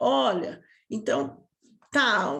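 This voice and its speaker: A woman against a quiet background. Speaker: sales mentor. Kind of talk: online lesson. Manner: animated.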